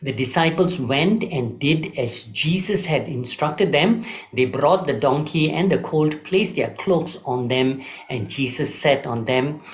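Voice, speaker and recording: A man's fairly slow speech shows ordinary pitch variation. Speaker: preacher. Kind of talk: sermon.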